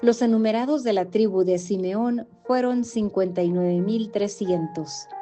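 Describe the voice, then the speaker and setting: Music plays behind a woman speaking at a medium pitch with ordinary pitch variation. She keeps a fairly slow pace with hardly any pauses. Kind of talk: scripture reading.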